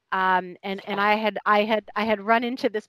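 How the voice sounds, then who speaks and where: On a very clean recording with a silent background and a dry, close sound with no echo, a woman uses a normal speaking voice at medium pitch with fairly even intonation. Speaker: podcast host, animal energy intuitive. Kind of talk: casual chat. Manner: friendly, chatty.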